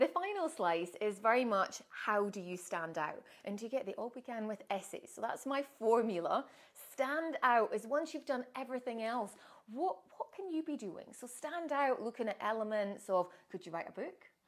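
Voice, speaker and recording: In a Scottish accent, the speaker moves at a moderate pace with very wide pitch swings. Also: woman, fairly high pitch for a woman. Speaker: author and personal branding coach. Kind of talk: promotional monologue to camera.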